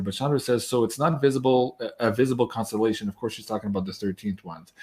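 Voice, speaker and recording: A man speaks at a medium pitch with ordinary pitch variation. His pace is very fast. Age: 40s. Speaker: astrologer, show host. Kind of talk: live Q&A interview.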